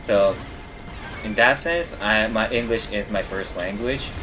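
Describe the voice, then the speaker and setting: The man has an American accent. Behind his speech, music is playing. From United States, Japanese parents. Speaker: gaming streamer. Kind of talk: casual chat while gaming livestream. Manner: halting, many fillers and restarts.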